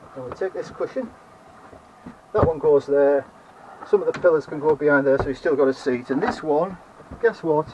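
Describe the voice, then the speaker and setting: Over noticeable background noise, a man with a Teesside accent talks at a fairly quick pace, with ordinary pitch variation and long, frequent pauses. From northern England. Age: 70s. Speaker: retired DIY vlogger. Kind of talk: casual video tour. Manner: halting, with many fillers.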